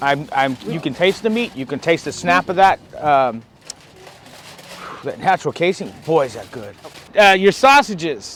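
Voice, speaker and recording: The voice has an animated tone, with very wide pitch swings, big swings in loudness and long, frequent pauses. Noticeable background noise runs underneath. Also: man, fairly high pitch for a man, moderate pace. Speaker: barbecue reviewer. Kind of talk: food review vlog. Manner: halting.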